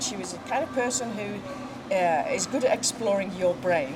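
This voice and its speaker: A woman speaks with lively intonation. Noticeable background noise runs under her voice. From England, Manchester. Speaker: horse business co-owner and former advertising executive. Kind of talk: casual interview. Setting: outdoors at horse show.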